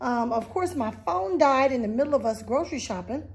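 This voice belongs to a woman. Her intonation is lively. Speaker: vlogger. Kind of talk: casual vlog chat. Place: home room. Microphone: phone near.

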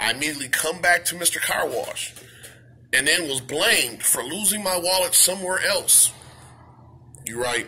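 A man with a high voice speaks at a moderate pace, leaving long, frequent pauses. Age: adult. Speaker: YouTuber. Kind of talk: vlog rant. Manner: animated; halting. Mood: upset, indignant. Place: shop. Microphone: phone near.

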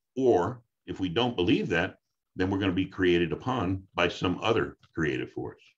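Against a quiet background, a man talks with a very deep, low voice and ordinary pitch variation. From Brooklyn, New York; New York. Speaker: speaker. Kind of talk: impassioned preacher-style teaching on faith and brain science; interview answer. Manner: fast, run-on torrent of words without pauses. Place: home room. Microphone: video call.

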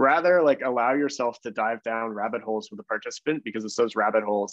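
A man with a Canadian accent talks at a very fast pace with ordinary pitch variation, the sound dry with no echo over a quiet background. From Canada (Toronto); Canada. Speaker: design researcher and consultant; presenter. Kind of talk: webinar talk. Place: home room. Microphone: video call.

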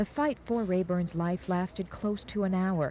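A woman with an American accent speaks at a moderate pace in a fairly low pitch, somewhat breathy and with a dark, mellow tone and ordinary pitch variation. The sound is dry with no echo, with light background noise. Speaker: TV news reporter. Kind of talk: 1980s TV news report, scripted. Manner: formal, measured, even news delivery. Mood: somber, measured.

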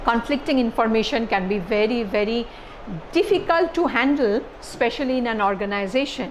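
Light background noise accompanies a woman's voice. She speaks at a high pitch and a moderate pace. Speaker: lecturer. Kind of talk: lecture. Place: classroom. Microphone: lapel.

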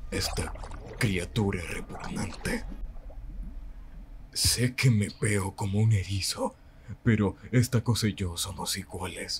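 A man's put-on character voice, fairly low in pitch, at a fairly slow pace with long, frequent pauses.

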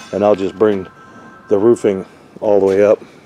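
Over music in the background, a man talks in a fairly low pitch with monotone, flat intonation. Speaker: roofing contractor. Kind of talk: tutorial. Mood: matter-of-fact, critical. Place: workshop. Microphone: phone near.

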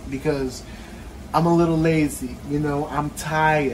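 Faint background noise sits behind speech at a moderate pace. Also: man.

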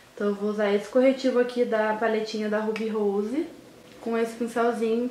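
Fairly even in intonation, a woman speaks at a fairly quick pace. Light background noise and audible room echo can be heard. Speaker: beauty vlogger. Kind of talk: makeup tutorial. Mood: relaxed, playful. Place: home room. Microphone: phone near.

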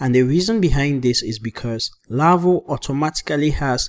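A man talks with a fairly high pitch, using an ordinary speaking voice, ordinary pitch variation and a moderate speed. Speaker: programming instructor. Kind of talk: coding tutorial.

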